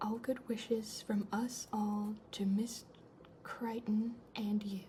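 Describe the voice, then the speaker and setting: Soft-spoken and at a very slow pace, the speaker is heard over noticeable background noise. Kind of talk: ASMR letter reading, soft-spoken. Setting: home recording with a fridge humming in the background. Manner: soft-spoken, cozy.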